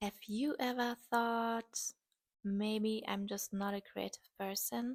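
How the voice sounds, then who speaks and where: A woman at a fairly slow pace in a strong German accent, with a dry, close sound and no echo. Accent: heavy German. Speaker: artist and video creator. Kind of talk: casual vlog talk while painting.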